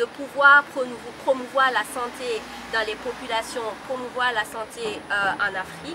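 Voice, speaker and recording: Noticeable background noise sits behind a woman speaking slowly-ish in a high pitch. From Burkina Faso. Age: 20s. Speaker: beauty pageant contestant. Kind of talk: self-introduction. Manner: halting.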